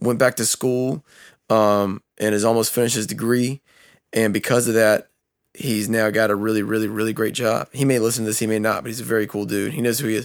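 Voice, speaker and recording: In a very clean recording with a silent background, a man speaks at a fairly quick pace. He has a plain, everyday voice at medium pitch with fairly even intonation. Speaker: podcast co-host. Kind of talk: casual chat. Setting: studio.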